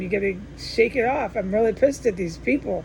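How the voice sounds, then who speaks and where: With noticeable background noise behind her, a woman talks fairly quickly at a fairly high pitch, her pitch varying in an ordinary way. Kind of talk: monologue report to camera. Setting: indoors at home. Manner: slurred, halting speech; stuttering restarts.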